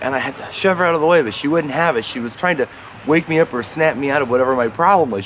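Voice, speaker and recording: Over noticeable background noise, a man with fairly high pitch speaks with lively intonation. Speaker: dog owner vlogger, stroke survivor. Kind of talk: casual vlog talking to camera while playing with dog. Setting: at home, playing fetch with dog. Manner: slurred speech when tired, S sounds become T sounds.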